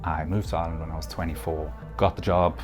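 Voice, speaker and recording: Talking at a very fast pace, a man has a very deep, low pitch. Noticeable background noise is present. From South Africa, Durban. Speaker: forex trader. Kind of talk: personal testimony.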